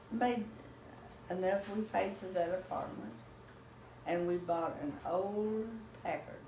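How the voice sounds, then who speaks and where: A woman with a Texan accent speaks at a fairly slow pace and medium pitch, with ordinary pitch variation and long, frequent pauses. Noticeable background noise and audible room echo fill the recording. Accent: Texan Southern US. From Texas. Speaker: grandmother telling family history. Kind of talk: oral history interview. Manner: halting.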